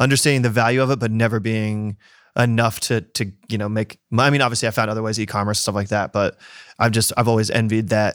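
Delivered at a very fast pace with flat, monotone intonation, the speech sits on a very clean recording with a silent background. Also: man, medium pitch for a man. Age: 30s. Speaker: podcast co-host. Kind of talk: interview.

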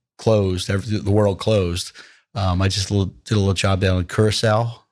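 Speaking fairly quickly with a New Jersey accent, a man uses a fairly low pitch and fairly even intonation on a very clean recording with a silent background. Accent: New Jersey American. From US Mid-Atlantic, New Jersey. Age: 60s. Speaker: hospitality company founder. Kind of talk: podcast interview answers.

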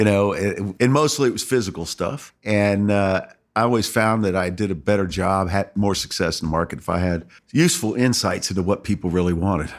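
A normal speaking voice moves at a fairly quick pace with ordinary pitch variation, captured in a very clean recording against a silent background. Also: man, fairly low pitch for a man. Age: 60s. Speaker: user experience researcher. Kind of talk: casual chat. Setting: studio.

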